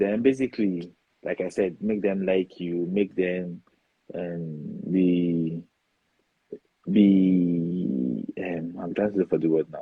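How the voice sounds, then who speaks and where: A man's very deep, low voice in a Nigerian accent, at a very slow pace, with music in the background. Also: ordinary pitch variation. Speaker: foreign-trained dentist. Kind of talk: interview.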